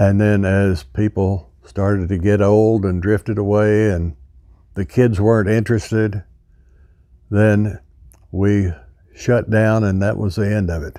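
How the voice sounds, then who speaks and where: This man has a dark, mellow tone and a fairly low pitch. He talks at a fairly slow pace with fairly even intonation and long, frequent pauses. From Arkansas. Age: 80s+. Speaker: veteran. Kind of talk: interview. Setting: museum.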